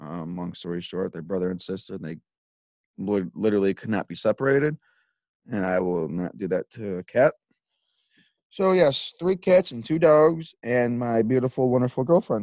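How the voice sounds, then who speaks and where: A man with a Chicago accent and a dark, mellow tone, with very wide pitch swings, big swings in loudness, and long, frequent pauses, in a dry, close sound with no echo and a quiet background. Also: medium pitch for a man, moderate pace. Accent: Chicago-area American. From US Midwest (Illinois). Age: 20s. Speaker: podcast host, disc golfer. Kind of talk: casual monologue.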